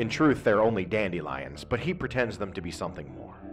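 A man's pitch swings very widely as he talks at a moderate pace over music in the background. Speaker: poet. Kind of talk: poetry reading.

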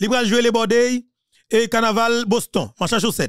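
An animated tone in a dry sound with no echo against a quiet background. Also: man. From Haiti. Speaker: political commentator. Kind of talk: political monologue. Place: studio. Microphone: studio mic.

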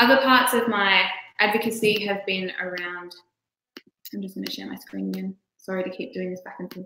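A woman with an Australian accent, medium-pitched, at a fairly quick pace with long, frequent pauses, fairly even intonation and big swings in loudness, plus audible room echo and light background noise. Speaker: poet and children's author. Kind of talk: presentation. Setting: video call. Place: home room.

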